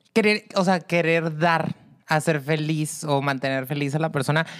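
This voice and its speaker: At a fairly slow pace, a woman talks. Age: 30s. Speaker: podcast co-host, therapist. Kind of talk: casual chat. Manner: animated.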